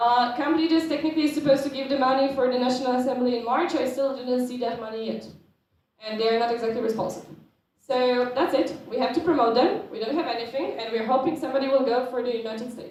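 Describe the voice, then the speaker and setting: Speaking very fast in a high voice with a Polish accent, a woman shows ordinary pitch variation amid audible room echo. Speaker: student organisation board member presenting. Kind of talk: conference presentation.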